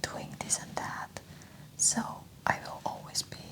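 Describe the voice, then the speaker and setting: Someone whispers in a gentle tone at a fairly slow pace over noticeable background noise. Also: woman. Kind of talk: ASMR emotional support talk. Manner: soft-spoken, gentle, conversational.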